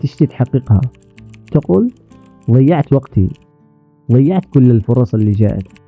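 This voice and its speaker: With music in the background, a man of medium pitch speaks at a moderate pace in a dry, close sound with no echo. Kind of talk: motivational talk.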